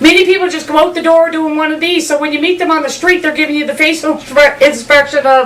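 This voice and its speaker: Over noticeable background noise, a woman with a Newfoundland accent talks at a very fast pace with hardly any pauses, a high pitch, and monotone, flat intonation. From Newfoundland, Canada. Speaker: comedian. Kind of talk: comedic monologue.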